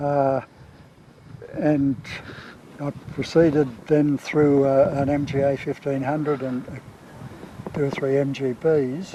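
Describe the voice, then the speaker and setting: A man with a fairly high pitch speaks at a very slow pace, with long, frequent pauses and monotone, flat intonation. Noticeable background noise can be heard. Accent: Australian. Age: 80s+. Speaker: rally car owner. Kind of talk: interview. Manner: halting.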